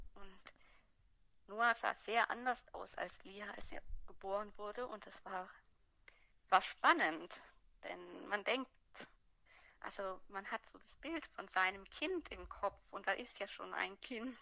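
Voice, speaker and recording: A woman speaks at a very slow pace with long, frequent pauses and big swings in loudness. Her tone is bright and sharp, with vocal fry and ordinary pitch variation. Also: medium pitch for a woman. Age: 30s. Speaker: mother telling her birth story. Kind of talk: testimony.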